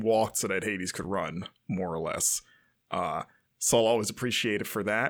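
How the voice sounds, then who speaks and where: A man has a normal speaking voice with a medium pitch and ordinary pitch variation. He talks at a moderate pace in a very clean recording with a silent background. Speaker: podcast host. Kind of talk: casual chat.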